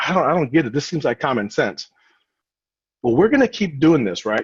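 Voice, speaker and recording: In a dry, close recording with no echo, a man with a fairly high voice and vocal fry moves through very wide pitch swings. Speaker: recruiter. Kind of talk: webinar presentation. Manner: fast.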